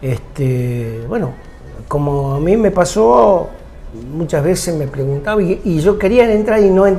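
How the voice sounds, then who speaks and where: Over music in the background, a man talks at a fairly slow pace with lively intonation, and the room echo is audible. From Argentina, Tucumán. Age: 60s. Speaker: TV show host. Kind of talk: interview.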